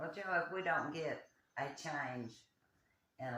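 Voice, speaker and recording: With a bright, sharp tone and vocal fry, a man speaks at a fairly slow pace, his pitch swinging very widely, with audible room echo. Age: 80s+. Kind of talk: casual chat.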